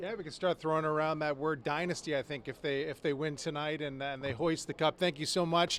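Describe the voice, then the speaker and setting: With a plain, everyday voice, the speaker keeps a fairly quick pace, fairly even intonation and hardly any pauses. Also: man, fairly high pitch for a man. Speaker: local TV sports director interviewing. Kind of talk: TV sports interview, host questions.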